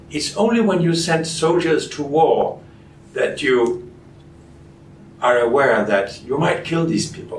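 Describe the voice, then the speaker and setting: A man with a fairly high voice speaks fairly slowly with lively intonation and long, frequent pauses. Audible room echo and noticeable background noise surround him. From Denmark. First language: Danish. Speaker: physician and researcher. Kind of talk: interview.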